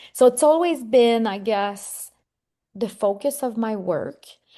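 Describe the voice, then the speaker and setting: A woman speaks at a moderate pace with a French Canadian accent, her pitch fairly high. Her tone is dark and mellow over a quiet background. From Quebec. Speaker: psychotherapist and author. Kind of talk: interview.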